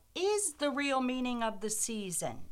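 Noticeable background noise runs under the recording. A woman speaks in a high pitch with very wide pitch swings. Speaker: co-host. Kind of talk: casual banter. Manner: cheerful, playful, teasing.

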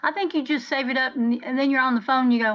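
Speaking very fast in a Southern US accent, a woman uses a high pitch. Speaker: podcast co-host. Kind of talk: casual chat.

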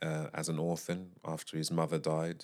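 On a very clean recording with a silent background, a man speaks in a flat monotone at a very deep, low pitch. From UK. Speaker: jazz vocalist and composer. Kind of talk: casual interview chat. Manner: halting.

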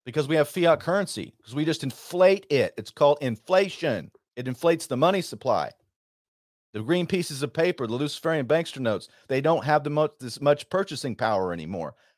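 With an American accent, a man talks at a fairly quick pace with lively intonation and vocal fry, the sound dry and close with no echo. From Texas. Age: 40s. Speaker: radio host and war veteran. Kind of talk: radio monologue.

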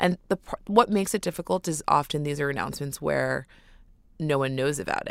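A woman with an American accent speaks at a fairly quick pace, her very deep, low pitch showing vocal fry and ordinary pitch variation. The sound is dry and close with no echo, on a very clean recording with a silent background. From New York City. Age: 20s. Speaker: public relations executive. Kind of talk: interview. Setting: studio.

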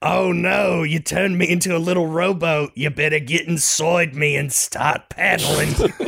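A put-on character voice, raspy and middle-pitched, at a moderate pace. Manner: cartoonish, jokey.

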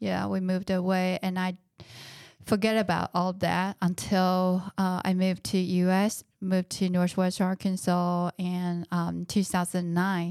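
Very slowly and in a flat monotone, a woman with a medium pitch speaks on a very clean recording with a silent background and a dry, close sound with no echo. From Taiwan. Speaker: guest sharing life story. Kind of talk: testimony.

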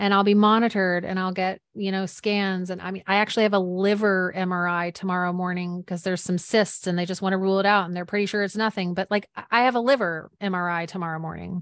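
Over a quiet background, a woman talks very fast in a monotone, flat delivery. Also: medium pitch for a woman, hardly any pauses. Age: 40s. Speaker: author and life coach. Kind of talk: interview.

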